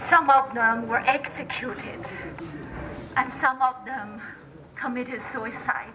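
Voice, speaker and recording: Over noticeable background noise and audible room echo, a woman with a Chinese accent speaks at a very slow pace with long, frequent pauses, her high pitch held in a fairly even intonation. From China, Sichuan. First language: Mandarin Chinese. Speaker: activist. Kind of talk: public speech. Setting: candlelight vigil in a temple. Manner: halting.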